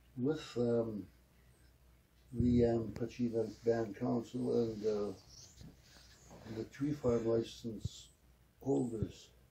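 A man's somewhat breathy, dark and mellow voice at a very slow pace, with fairly even intonation, long frequent pauses and light background noise. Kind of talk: interview answer. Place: home room. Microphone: camera far.

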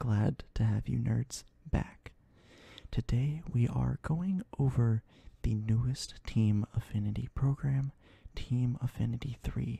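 Soft-spoken delivery at a very slow pace and very even loudness, dry with no echo, over a quiet background. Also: man. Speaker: gaming streamer. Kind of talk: ASMR gaming commentary. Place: home room. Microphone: studio mic.

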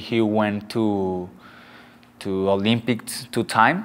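A man speaks at a very slow pace with fairly even intonation. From Mazatlán, Sinaloa, Mexico; Sinaloa, Mexico. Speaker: boxer. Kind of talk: interview. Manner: halting in English. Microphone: lapel.

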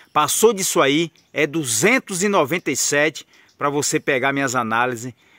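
A man with a bright, sharp tone and lively intonation speaks at a very slow pace against a quiet background, the sound dry with no echo. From Brazil. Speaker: trading analyst and course seller. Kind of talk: sales pitch. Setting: outdoors on a farm, under a tree. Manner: persuasive, urgent, chatty pitchman; folksy and friendly, deadline-driven. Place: garden. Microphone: phone near.

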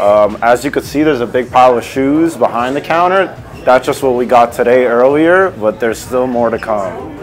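Music plays behind a man who talks at a moderate pace with ordinary pitch variation. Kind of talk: interview answer. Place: shop. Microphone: lapel.

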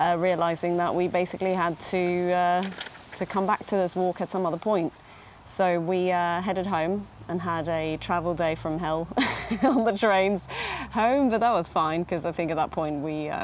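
A woman's fairly low, fairly evenly intoned voice comes at a moderate pace, with a dry sound, no echo and light background noise. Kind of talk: interview answer. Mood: sad, reflective. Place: garden. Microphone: lapel.

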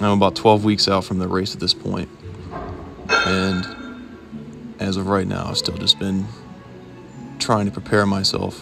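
Monotone, flat intonation comes with long, frequent pauses over music in the background. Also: man, fairly low pitch for a man, moderate pace. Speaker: ultramarathon runner. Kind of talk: casual talk to camera.

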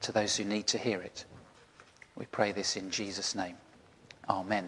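A man speaks at a moderate pace with a fairly low pitch. There is light background noise. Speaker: church minister. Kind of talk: sermon. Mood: warm, gentle storytelling. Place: garden.

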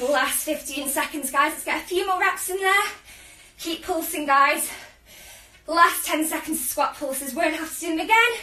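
Projecting a raised voice at a moderate pace, a woman speaks with a bright, sharp tone, big swings in loudness and audible room echo. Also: ordinary pitch variation. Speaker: fitness instructor. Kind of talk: workout coaching. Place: home room. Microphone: camera far.

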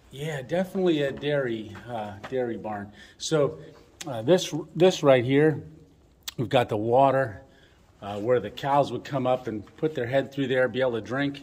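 A man at a moderate pace with ordinary pitch variation and long, frequent pauses. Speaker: explorer vlogger. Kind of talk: casual vlog chat. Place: open country. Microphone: phone near.

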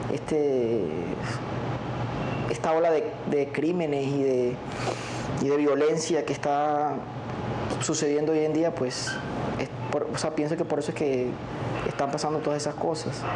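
Against noticeable background noise, a man speaks at a fairly slow pace with long, frequent pauses. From La Guajira, Colombia. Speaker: relative of kidnapping victim. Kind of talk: interview answer. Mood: serious, thoughtful. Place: studio. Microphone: lapel.

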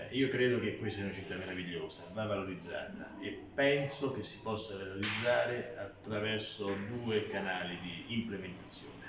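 A man with a fairly low pitch and ordinary pitch variation talks at a moderate pace with hardly any pauses, amid noticeable background noise and audible room echo. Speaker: candidate. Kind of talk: interview answer. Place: office. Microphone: phone near.

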